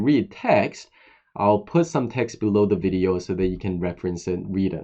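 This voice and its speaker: A man talks with a non-native accent. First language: not English. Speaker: online course instructor. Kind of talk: personal talk to camera. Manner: hesitant, with many fillers.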